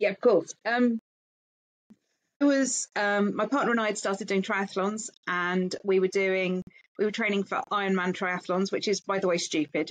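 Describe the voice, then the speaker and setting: The speech moves at a moderate pace with fairly even intonation, in a dry, close sound with no echo. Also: woman, medium pitch for a woman. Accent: English. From England. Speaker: founder of a perimenopause support group. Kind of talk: interview conversation.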